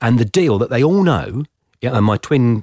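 Speaking with an English accent, a man swings his pitch very widely at a moderate pace, the sound dry and close with no echo. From England (Somerset family, born Plymouth). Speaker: podcast host. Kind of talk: interview.

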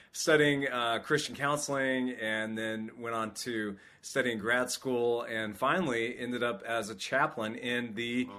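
Fairly slow and with hardly any pauses, this voice has a bright, sharp tone, fairly even intonation and an American accent. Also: man, medium pitch for a man. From California, Sacramento. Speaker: military chaplain. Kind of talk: interview.

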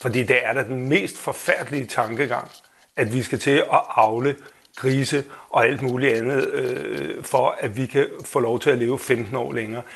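A man with an unremarkable speaking voice and a medium pitch speaks at a fairly slow pace with fairly even intonation. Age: 50s. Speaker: listener panel member.

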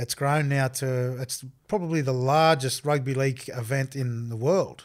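A man with an Australian accent speaks at a fairly slow pace, medium in pitch with fairly even intonation. The recording is very clean with a silent background. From Australia, Armidale, New South Wales. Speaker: former rugby league player. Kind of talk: interview.

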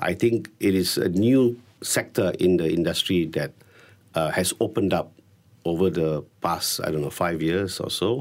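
In a very deep, low voice, a man speaks at a fairly slow pace with lively intonation. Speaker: hotel company chief executive. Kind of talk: interview. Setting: radio studio.

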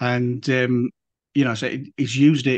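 A man with an English accent talks at a moderate pace in a monotone, flat intonation. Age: 50s. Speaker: podcast host and volunteer. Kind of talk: casual interview chat.

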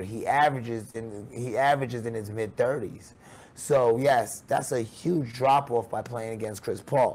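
A man's unremarkable speaking voice, fairly slow in pace, with fairly even intonation. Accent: American. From Queens, New York. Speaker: basketball coach and podcast host. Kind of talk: sports commentary podcast.

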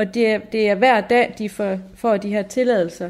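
Using an ordinary speaking voice, a woman with a fairly high pitch talks at a fairly slow pace with fairly even intonation. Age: 30s. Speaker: nurse. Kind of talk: documentary interview.

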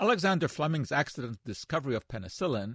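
Delivered at a very fast pace with lively intonation, the somewhat breathy voice has a dry, close sound with no echo and a quiet background. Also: man. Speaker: radio host and science educator. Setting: radio studio. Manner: upbeat, teasing, animated, brisk, encouraging callers to phone in.

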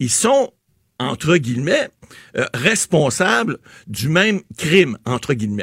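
A man at a fairly slow pace with very wide pitch swings, in a dry, close sound with no echo. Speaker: political commentator. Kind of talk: commentary segment.

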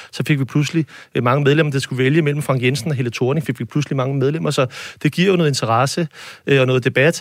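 A very fast pace with very even loudness and fairly even intonation, in a very clean recording with a silent background. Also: man, fairly high pitch for a man. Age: 40s. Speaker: mayor. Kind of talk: panel discussion. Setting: studio.

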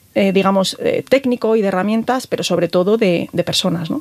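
There is noticeable background noise behind a woman's voice. She speaks at a medium pitch and a moderate pace with lively intonation. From Galicia, Spain. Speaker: telecom engineer and tech executive. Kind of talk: interview. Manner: hesitant, many fillers.

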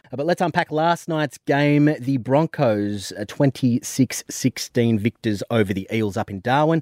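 A man with an Australian accent talks at a medium pitch with lively intonation. He leaves hardly any pauses, and the sound is dry and close with no echo. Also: fairly slow pace. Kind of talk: casual radio banter. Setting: radio studio.

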